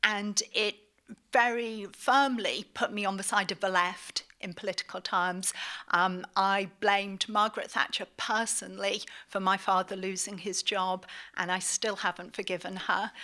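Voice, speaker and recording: A woman with a British accent speaks at a medium pitch and a moderate pace, her intonation monotone and flat and her tone bright and sharp, on a very clean recording with a silent background. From northeast England, Middlesbrough. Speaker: magazine editor and lecturer. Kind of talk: lecture.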